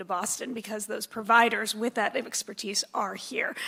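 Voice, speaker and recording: Here a woman speaks with an American accent and fairly high pitch. Noticeable background noise is present. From Arizona (Tucson). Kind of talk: panel discussion.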